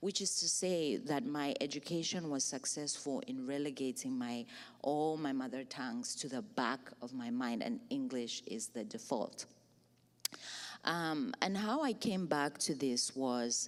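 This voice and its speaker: In a very clean recording with a silent background, a woman talks at a fairly slow pace. Her very deep, low pitch moves in very wide swings. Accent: Zambian. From Zambia. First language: Bemba. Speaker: writer and poet. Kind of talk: panel discussion. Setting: stage with audience.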